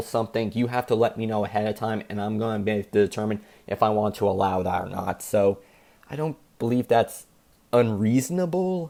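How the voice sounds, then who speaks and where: A man talks at a fairly quick pace in a fairly low pitch. His tone is dark and mellow, with ordinary pitch variation. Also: very clean recording, silent background. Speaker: gaming commentary youtuber. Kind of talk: casual commentary monologue.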